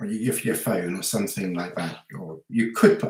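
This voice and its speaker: Someone mumbles at a moderate pace with ordinary pitch variation. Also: man. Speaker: hiking vlogger. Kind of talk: live stream Q&A. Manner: mumbling; halting.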